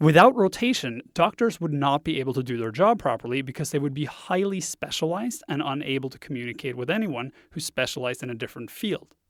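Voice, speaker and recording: Talking very fast with hardly any pauses, a man with a slight Norwegian accent uses a fairly high pitch and lively intonation, in a very clean, dry, close recording with a silent background and no echo. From Norway. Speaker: web design instructor. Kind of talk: podcast monologue.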